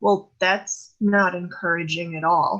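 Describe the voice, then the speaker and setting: Put-on character voice, raspy and fairly slow in pace. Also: woman. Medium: stage play.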